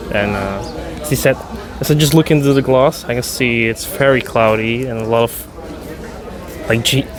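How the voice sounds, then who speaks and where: Fairly slow and with a Dutch accent, a man speaks at a medium pitch with ordinary pitch variation, amid noticeable background noise. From Netherlands. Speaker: beer review vlogger. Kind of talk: casual vlog with bartender chat. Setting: in a beer bar. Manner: animated.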